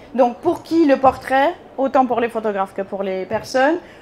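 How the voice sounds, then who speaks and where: A woman speaks here. Her pace is fairly slow. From Bulgaria. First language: Bulgarian (speaking French). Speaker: photographer. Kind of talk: conference talk. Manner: hesitant, many fillers.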